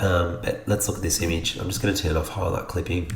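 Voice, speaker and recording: Over noticeable background noise, a man with an Australian accent speaks at a very deep, low pitch. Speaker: photographer. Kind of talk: software tutorial narration. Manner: casual, hesitant.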